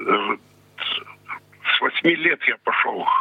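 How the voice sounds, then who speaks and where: Noticeable background noise runs under the voice of this man. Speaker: blind pensioner, former brass band musician. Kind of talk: interview. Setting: phone call. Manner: terse.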